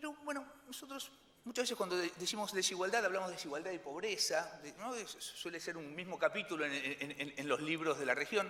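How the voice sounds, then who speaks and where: A man with a high pitch and very wide pitch swings, at a fairly quick pace over noticeable background noise. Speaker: economist. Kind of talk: conference presentation. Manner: fast; halting, many fillers and repetitions.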